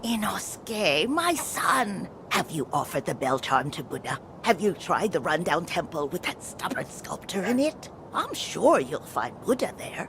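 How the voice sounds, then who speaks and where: Doing a put-on character voice, a woman speaks at a medium pitch against clear background noise. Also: moderate pace. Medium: video game.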